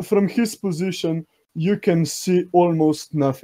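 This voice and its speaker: A dark, mellow tone with a non-native accent, fairly even intonation and a fairly slow pace. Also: man. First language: not English. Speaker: contest judge. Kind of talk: live commentary.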